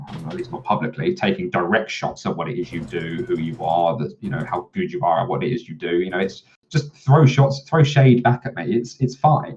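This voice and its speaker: This loud voice moves at a moderate pace, swinging very widely in pitch and showing vocal fry. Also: man. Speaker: former game developer. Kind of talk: interview. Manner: clear speech.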